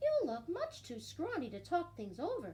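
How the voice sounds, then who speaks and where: A woman speaks at a moderate pace in a put-on character voice. Background noise is clearly audible. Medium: read story. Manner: eager, cheerful.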